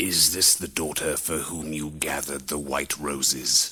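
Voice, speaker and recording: A put-on character voice is used here. It moves at a moderate pace. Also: man, very deep, low pitch for a man. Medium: read story. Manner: booming and stern.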